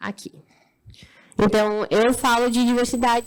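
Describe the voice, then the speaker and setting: A woman's high-pitched voice. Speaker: diversity speaker, agency communications intern. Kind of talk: Q&A answer after a talk.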